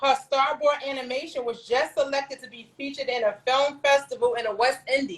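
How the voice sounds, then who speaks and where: This woman has an American accent. Her pitch is high. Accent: New York accent noticed by Southerners. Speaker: talk show host. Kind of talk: casual chat.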